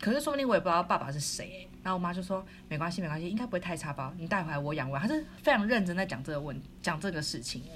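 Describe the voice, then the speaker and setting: Delivered at a very fast pace with hardly any pauses, the lively intonation comes through with audible room echo. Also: woman. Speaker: podcast co-host. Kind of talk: casual chat. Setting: recording remotely in quarantine room. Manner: loud; animated.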